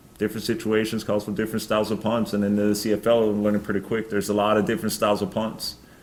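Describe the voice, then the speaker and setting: Heard with audible room echo, a man speaks at a fairly low pitch with a slight Norwegian accent. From Norway. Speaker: professional football punter. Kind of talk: press conference Q&A. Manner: halting, many fillers.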